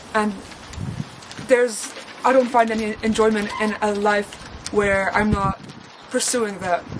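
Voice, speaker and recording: A woman with a fairly high pitch speaks in a monotone, flat way, leaving long, frequent pauses, against noticeable background noise. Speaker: animation course applicant. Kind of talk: personal statement talk to camera.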